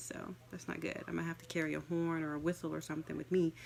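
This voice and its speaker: The speaker is soft-spoken and talks at a very fast pace. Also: woman. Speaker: life coach. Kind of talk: casual talk to camera. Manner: hesitant, many fillers.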